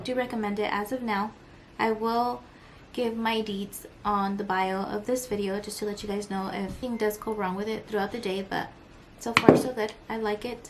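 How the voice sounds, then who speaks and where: A quiet woman at a moderate pace, with a fairly high pitch and fairly even intonation. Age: 20s. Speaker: beauty vlogger. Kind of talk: makeup tutorial and Q&A. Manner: casual.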